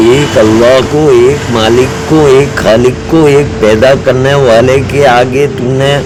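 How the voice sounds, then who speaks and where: A man at a fairly high pitch with ordinary pitch variation, over noticeable background noise. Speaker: Islamic preacher (maulana-style). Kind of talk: Islamic sermon / religious advice talk. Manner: earnest, direct address, repetitive.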